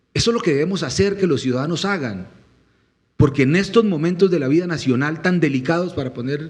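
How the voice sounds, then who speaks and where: A man in an animated tone with lively intonation. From Colombian Llanos (Meta, Villavicencio area). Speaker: presidential candidate. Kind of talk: panel interview.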